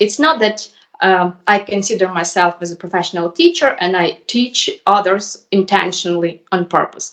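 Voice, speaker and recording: A woman with a Ukrainian accent speaks at a fairly slow pace. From Ukraine. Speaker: YouTuber learning English. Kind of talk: casual conversation. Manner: hesitant.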